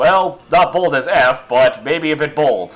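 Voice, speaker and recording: A man puts on a character voice, high in pitch and fairly slow in pace. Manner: opinionated, booming.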